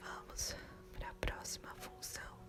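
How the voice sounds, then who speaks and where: A soft-spoken woman whispering at a very slow pace, with music in the background. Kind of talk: ASMR study-memorization video to help sleep. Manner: soft-spoken and whispered, with mouth sounds.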